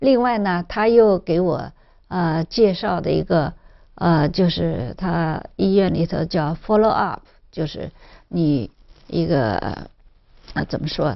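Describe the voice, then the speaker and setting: A woman's fairly low voice, very slow pace with long, frequent pauses, and lively intonation. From Zhejiang, China. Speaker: cancer survivor. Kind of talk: interview testimony. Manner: halting, many fillers.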